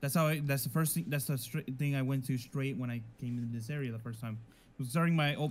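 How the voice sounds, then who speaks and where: A somewhat breathy man's voice at a very fast pace with ordinary pitch variation. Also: medium pitch for a man. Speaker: fellow player in roleplay server. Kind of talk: casual in-game roleplay chat. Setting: online game voice chat.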